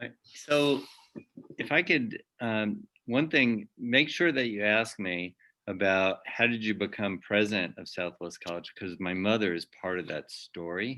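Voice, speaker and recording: Talking at a fairly slow pace, a man uses a fairly low pitch. His tone is bright and sharp, with lively intonation. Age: 60s. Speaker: naturopathic college president. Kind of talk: interview.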